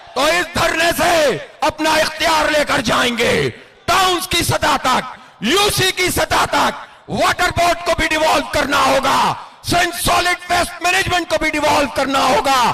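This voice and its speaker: Over noticeable background noise, a man uses a raised, projected voice at an extremely high pitch, with very even loudness and fairly even intonation. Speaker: political party leader. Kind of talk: political rally speech. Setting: outdoors, public address system at a rally.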